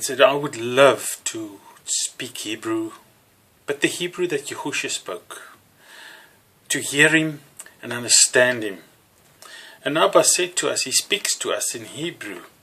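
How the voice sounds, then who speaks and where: A man with a South African accent talks at a fairly slow pace. He leaves long, frequent pauses, and his loudness swings widely. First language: Afrikaans. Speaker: religious teacher. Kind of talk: teaching sermon to camera. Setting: alone talking to a camera. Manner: halting with fillers.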